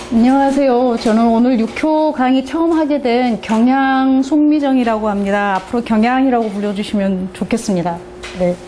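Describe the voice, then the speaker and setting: Against music and audible room echo, a woman speaks at a moderate pace in a high voice with ordinary pitch variation and very even loudness. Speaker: divination teacher. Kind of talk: lecture.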